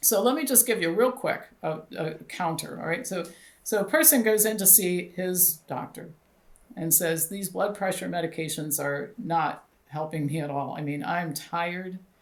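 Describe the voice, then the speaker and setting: Speaking at a moderate pace, a woman uses an ordinary speaking voice with a fairly low pitch and ordinary pitch variation. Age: 60s. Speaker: doctor and health clinic founder. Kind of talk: interview.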